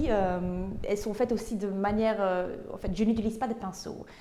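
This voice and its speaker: This woman has a Flemish accent and a fairly high pitch. Her tone is dark and mellow. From Flanders, Belgium (Tienen). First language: Dutch (speaking French). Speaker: painter. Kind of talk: interview. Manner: halting, many hesitations.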